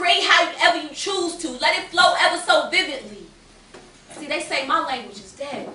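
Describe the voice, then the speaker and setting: Over noticeable background noise, a woman projects a raised voice at an extremely high pitch, with lively intonation, big swings in loudness and a moderate pace. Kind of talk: spoken word poetry performance. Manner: rhythmic, impassioned.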